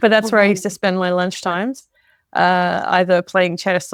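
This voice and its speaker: The recording is very clean and the background silent. A woman talks in an Australian accent. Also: dry, close sound with no echo. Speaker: spiritual channeler and author. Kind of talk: interview.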